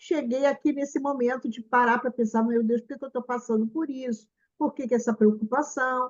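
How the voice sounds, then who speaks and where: A woman's high voice with fairly even intonation at a moderate pace. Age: 70s. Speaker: spiritist meeting host. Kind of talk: casual chat. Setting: video call.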